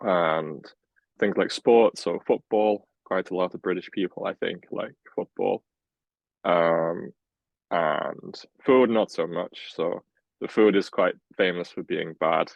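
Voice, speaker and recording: A man with a Welsh accent speaks at a very slow pace with long, frequent pauses. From Wales. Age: 20s. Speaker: healthcare scientist. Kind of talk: interview.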